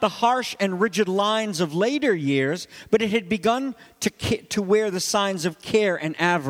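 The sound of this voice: The clip features an unforced reading voice.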